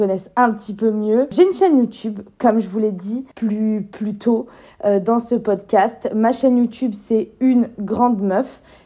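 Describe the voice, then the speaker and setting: A woman speaks in a fairly high pitch with a dark, mellow tone. Her voice is somewhat breathy and her intonation fairly even. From France, Lyon. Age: 20s. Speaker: podcaster and YouTuber. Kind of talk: casual solo podcast monologue.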